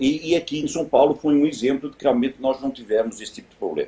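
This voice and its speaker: A man speaks in a European Portuguese accent at a fairly high pitch. His tone is dark and mellow, and his intonation is lively. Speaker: business executive, event panelist. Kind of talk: panel discussion. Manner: hesitant, many fillers.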